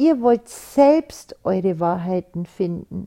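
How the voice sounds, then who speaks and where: A woman at medium pitch talks at a very slow pace with lively intonation. Her tone is dark and mellow, and the sound is dry and close with no echo. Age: 60s. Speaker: podcast host. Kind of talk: personal monologue. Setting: studio.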